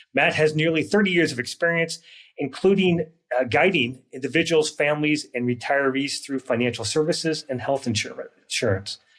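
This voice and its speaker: Using a plain, everyday voice, a man talks at a fairly quick pace and fairly high pitch with ordinary pitch variation. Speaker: retirement counselor and podcast host. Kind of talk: interview.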